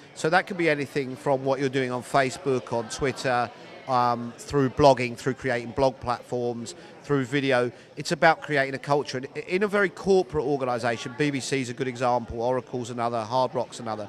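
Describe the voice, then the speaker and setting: A man at a medium pitch and a fairly quick pace, with ordinary pitch variation, over noticeable background noise. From Britain. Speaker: recruiting consultant. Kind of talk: interview answer. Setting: conference floor.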